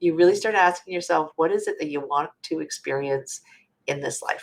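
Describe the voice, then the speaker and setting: Spoken at a moderate pace, this is an ordinary speaking voice. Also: woman. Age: 50s. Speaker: midlife transformation speaker. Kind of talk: podcast interview.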